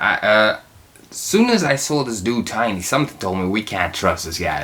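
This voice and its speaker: The background noise is noticeable. A man speaks through it at a moderate pace. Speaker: TV reaction youtuber. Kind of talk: casual episode recap. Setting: in his room. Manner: halting, many fillers.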